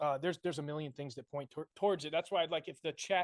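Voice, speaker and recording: In an American accent, a man with an ordinary speaking voice and fairly high pitch keeps a fairly even intonation, the sound dry and close with no echo against a quiet background. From Connecticut, US Northeast. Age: 20s. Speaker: army veteran and conspiracy video maker. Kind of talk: podcast debate interview.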